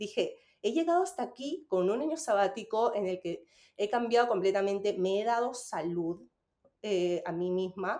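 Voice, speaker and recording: With lively intonation, a woman speaks at a moderate pace in a medium-pitched voice with a dark, mellow tone. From Peru. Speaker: Spanish teacher and business coach. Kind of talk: casual chat. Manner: halting.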